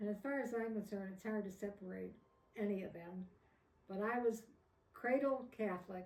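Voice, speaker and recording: A woman speaks with a somewhat breathy voice and fairly even intonation, leaving long, frequent pauses. Audible room echo surrounds her. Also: medium pitch for a woman, moderate pace. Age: 80s+. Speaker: elderly interviewee. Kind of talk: interview.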